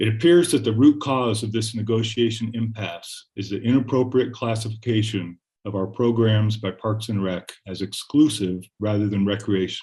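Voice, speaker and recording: Against a quiet background, a somewhat breathy man of medium pitch speaks at a moderate pace with fairly even intonation. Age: 60s. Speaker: public commenter, rowing club member. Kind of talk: public comment at council meeting. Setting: city council meeting. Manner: blunt.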